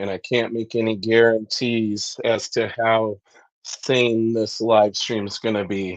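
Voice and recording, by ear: A man speaks slowly in a nasal voice at fairly low pitch, with little pitch movement.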